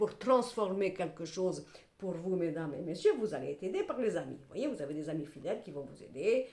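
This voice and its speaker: The woman has a medium pitch and an animated tone. She keeps a moderate pace with ordinary pitch variation. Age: 60s. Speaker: tarot reader / clairvoyant. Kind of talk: tarot reading monologue to camera.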